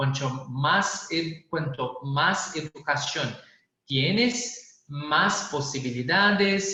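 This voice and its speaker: In a Brazilian accent, a man speaks at a very slow pace with lively intonation, and audible room echo surrounds his voice. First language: Portuguese (speaking Spanish). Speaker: public policy specialist. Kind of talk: panel presentation. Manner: halting.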